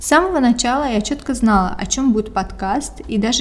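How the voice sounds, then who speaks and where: A woman speaks fairly quickly while noticeable background noise carries on. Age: 20s. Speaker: podcast host. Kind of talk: scripted monologue.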